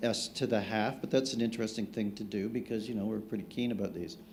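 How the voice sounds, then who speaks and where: Audible room echo surrounds a man speaking. He talks at a fairly quick pace with hardly any pauses. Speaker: cosmologist. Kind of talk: conference panel discussion. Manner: loud.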